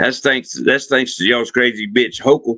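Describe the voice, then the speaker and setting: This man talks at a fairly slow pace with a Southern US accent. His tone is bright and sharp. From US South. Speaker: livestream host. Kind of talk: casual chat. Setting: live stream.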